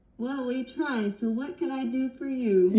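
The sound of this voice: A woman puts on a character voice, pitched high, with ordinary pitch variation. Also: moderate pace.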